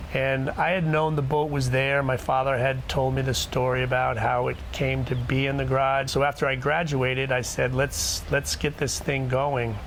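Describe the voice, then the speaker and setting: A man with an American accent talks at a moderate pace with hardly any pauses, in a monotone, flat intonation and very even loudness, amid audible room echo and noticeable background noise. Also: medium pitch for a man. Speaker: ice boat owner. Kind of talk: documentary interview.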